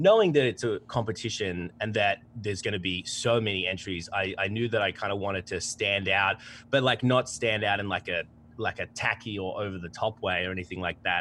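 A man speaks with an Australian accent. His pitch sits fairly low and his intonation stays fairly even. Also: fairly quick pace. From Melbourne, Australia. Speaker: contest finalist, editor.

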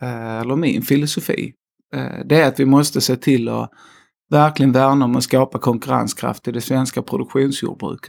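This man's pitch sits in the medium range. The intonation is fairly even. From Skåne, southern Sweden. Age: 30s. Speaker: slaughterhouse company executive. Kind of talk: interview. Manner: hesitant, many fillers.

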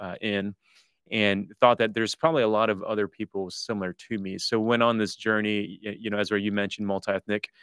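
In a Midwestern American accent, a man with a fairly low pitch talks at a fairly quick pace with fairly even intonation, recorded very cleanly against a silent background with a dry, close sound and no echo. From US Midwest, Detroit area. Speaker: pastor and church-planting leader. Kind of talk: interview.

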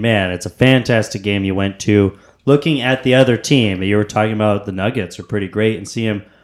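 A man speaks in an ordinary speaking voice, fairly low-pitched with ordinary pitch variation, at a fairly quick pace with hardly any pauses. The recording is very clean, with a silent background. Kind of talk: casual chat.

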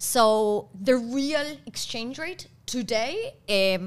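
Speaking very slowly in a Spanish accent, a woman with a fairly high pitch uses lively intonation and shows vocal fry. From Argentina. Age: 30s. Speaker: podcast co-host. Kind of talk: casual chat.

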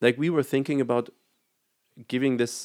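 A man speaks with a German accent. His intonation stays fairly even. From Germany. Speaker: graphic designer and band musician. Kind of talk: casual chat, video interview.

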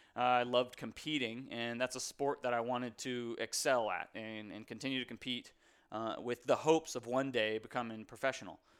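A man talks at a fairly quick pace in an American accent, with a plain, everyday voice of medium pitch. His intonation stays fairly even, and the recording is very clean with a silent background. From US South, North Carolina (Raleigh). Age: 30s. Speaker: podcast host, adaptive athlete. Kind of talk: solo monologue, casual. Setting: home office.

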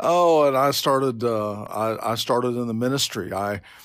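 A man with an American accent speaks at a moderate pace in a medium pitch, with ordinary pitch variation. The recording is very clean, with a silent background. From Oklahoma City, US. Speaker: pastor. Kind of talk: interview. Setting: office.

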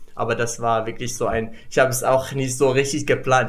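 A man speaks in a Moroccan accent with a flat, monotone delivery. His voice is somewhat breathy, and the room echoes audibly. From Morocco. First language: Moroccan Arabic (speaking German). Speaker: international student. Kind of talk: casual chat. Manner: halting.

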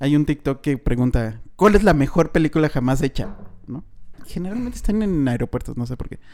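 A man's fairly high-pitched voice at a fairly quick pace, with big swings in loudness. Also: lively intonation. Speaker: film podcast host. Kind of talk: casual chat.

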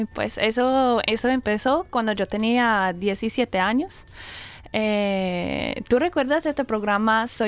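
Speaking at a very slow pace, a woman keeps her fairly high voice at a very even loudness. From Australia, Brisbane. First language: English (speaking Spanish). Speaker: Spanish and English teacher. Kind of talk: casual radio interview. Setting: radio studio. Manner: lively, upbeat; halting, with fillers.

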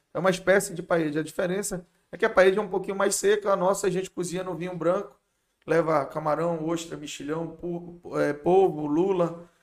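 Fairly quick and high-pitched, a man delivers his words in a flat monotone. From Manaus, Amazonas, Brazil. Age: 40s. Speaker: restaurant owner. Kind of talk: casual chat.

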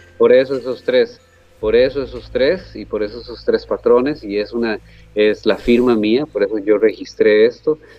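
A man with a Costa Rican accent, fairly slow in pace, with ordinary pitch variation. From Costa Rica, Guápiles area. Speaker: painter. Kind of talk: interview.

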